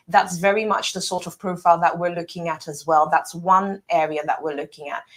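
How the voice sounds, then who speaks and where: The speaker has a British accent and a fairly quick pace. The delivery is monotone and flat, with big swings in loudness. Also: woman, fairly low pitch for a woman. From UK. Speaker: property developer representative. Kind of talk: interview. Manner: fluent, persuasive.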